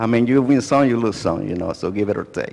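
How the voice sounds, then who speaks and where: This is a man speaking with a Spanish accent. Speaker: lay preacher. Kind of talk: bilingual sermon. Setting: church. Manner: repeats each part in English and Spanish.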